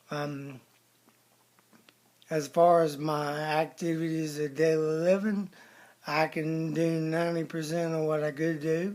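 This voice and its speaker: This man's fairly high voice stays monotone and flat, broken by long, frequent pauses. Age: 40s. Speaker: person living with ALS. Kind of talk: personal testimony. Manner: halting, many fillers.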